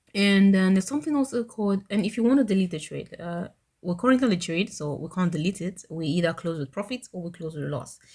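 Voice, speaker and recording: Somewhat breathy and dark, mellow in tone, a woman with a medium pitch and ordinary pitch variation talks at a very fast pace. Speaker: trading tutorial youtuber. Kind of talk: screen-recorded tutorial. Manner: casual with frequent fillers.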